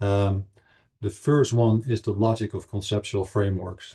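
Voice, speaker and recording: A man speaks with a Dutch accent at a moderate pace, his pitch fairly low and his intonation flat and monotone. His tone is dark and mellow, somewhat breathy, over a quiet background. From Netherlands. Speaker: anthropology professor. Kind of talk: lecture. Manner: halting, many fillers.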